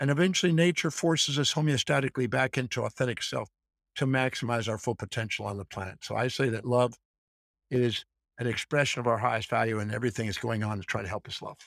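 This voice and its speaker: At a very fast pace, a man talks at a medium pitch with ordinary pitch variation. The sound is dry and close, with no echo. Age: 60s. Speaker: author and educator. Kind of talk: interview answers, explanatory. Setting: video call from Iceland.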